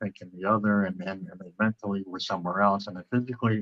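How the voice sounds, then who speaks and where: This man talks fairly quickly in a fairly low, monotone voice with a bright, sharp tone, recorded with a dry, close sound and no echo. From central Canada. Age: 50s. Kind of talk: interview. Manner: halting, many repetitions and fillers.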